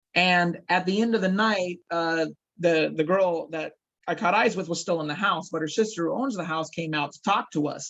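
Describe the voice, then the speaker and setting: Loud and fairly even in intonation, a man speaks at a moderate pace. His pitch is high. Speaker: actor and paranormal investigator. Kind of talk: interview storytelling.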